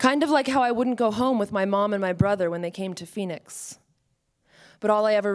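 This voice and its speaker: In a quiet setting, a woman's voice moves at a moderate pace, her pitch varying in an ordinary way. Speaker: monologue performer. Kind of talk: theatrical monologue performance, confessional first-person story. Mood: wistful, confessional. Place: stage. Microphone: handheld.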